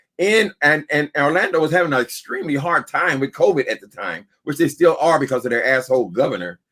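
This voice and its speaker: This man's fairly high voice comes out fairly quick with hardly any pauses, animated and lively in intonation, bright and sharp in tone, with vocal fry. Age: 60s. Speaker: interview guest. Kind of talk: casual interview.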